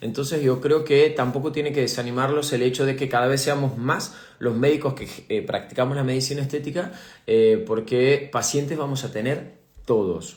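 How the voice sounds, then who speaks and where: Speaking with a Rioplatense accent amid audible room echo, a man keeps a moderate pace, a fairly high pitch and ordinary pitch variation. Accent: Argentine Spanish (rioplatense). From Argentina. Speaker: aesthetic medicine doctor and teacher. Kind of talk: live stream Q&A talk. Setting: live online stream. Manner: hesitant, many fillers (eh, repeated words).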